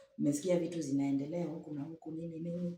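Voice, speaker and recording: A woman talks at a very fast pace in a very deep, low pitch with fairly even intonation. Audible room echo and noticeable background noise fill the recording. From Kenya. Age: 60s. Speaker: matchmaking show guest. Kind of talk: interview. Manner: halting.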